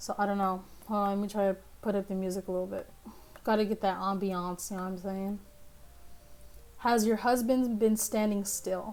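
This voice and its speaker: A woman speaks fairly quickly at a medium pitch, her intonation monotone and flat. Long, frequent pauses break up her speech, and music plays in the background. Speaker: streamer reading horror stories. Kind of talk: reading aloud with casual commentary. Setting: livestream. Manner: casual, profane; halting.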